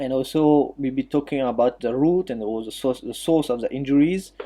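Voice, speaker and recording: This man has a French accent and a medium-pitched voice with a dark, mellow tone. He talks at a moderate pace with ordinary pitch variation. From Mauritius. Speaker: physiotherapist and jiu-jitsu practitioner. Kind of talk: talk on an online audio chat. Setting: online audio chat room. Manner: halting, many fillers.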